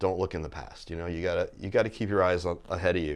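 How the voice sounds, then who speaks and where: Here a man speaks with a very deep, low pitch. The background is quiet. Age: 60s. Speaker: fitness business owner. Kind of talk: casual chat. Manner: halting.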